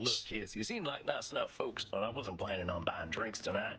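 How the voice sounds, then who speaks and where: Putting on a character voice, a man talks at a fairly quick pace and a medium pitch. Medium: video game. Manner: folksy.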